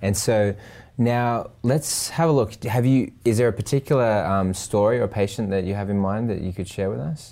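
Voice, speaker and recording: A dark, mellow tone with an Australian accent, at a moderate pace, with ordinary pitch variation. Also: man, fairly low pitch for a man. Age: 30s. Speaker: podcast host. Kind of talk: interview.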